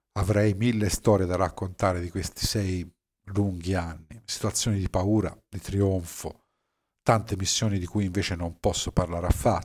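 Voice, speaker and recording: Very deep and low in pitch, a man's voice holds a monotone, flat intonation at a moderate pace. The recording is very clean, with a silent background. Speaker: podcaster and former navy submarine officer. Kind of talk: personal storytelling monologue. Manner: hesitant with fillers.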